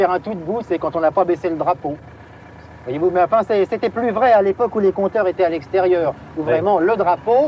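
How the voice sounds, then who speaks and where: A man with a high voice speaks at a moderate pace over noticeable background noise. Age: 30s. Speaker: taxi driver. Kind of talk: archival TV interview answer. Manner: hesitant, casual.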